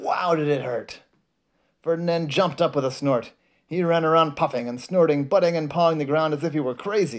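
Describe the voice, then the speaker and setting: In a very clean recording with a silent background, a man with a plain, everyday voice talks at a fairly quick pace with fairly even intonation and a fairly high pitch. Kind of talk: children's bedtime storybook reading aloud. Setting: bedtime at home, reading to a child. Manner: pauses to comment on the pictures to a child.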